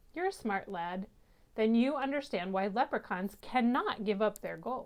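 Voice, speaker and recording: A woman puts on a gruff character voice with a fairly high pitch. She talks at a moderate pace. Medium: read story. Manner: gruff, prickly.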